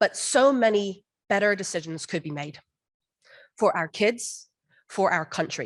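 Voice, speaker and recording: Speaking at a very slow pace, a woman uses a medium pitch and lively intonation. The background is quiet. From outside the US. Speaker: parent giving public comment. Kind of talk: public comment speech. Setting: board meeting room.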